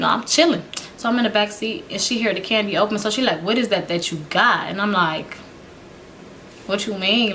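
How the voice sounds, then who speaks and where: Against noticeable background noise, a woman speaks at a fairly quick pace and medium pitch, with ordinary pitch variation. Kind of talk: casual storytime to camera. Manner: casual, animated, laughing.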